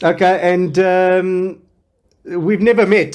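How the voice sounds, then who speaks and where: A man's high-pitched voice in a monotone, flat intonation. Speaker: forex trading software seller. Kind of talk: interview questions on screen-share call.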